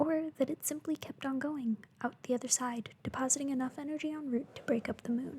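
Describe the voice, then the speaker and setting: Whispered words come at a fairly quick pace. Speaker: ASMR creator. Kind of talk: bedtime story reading.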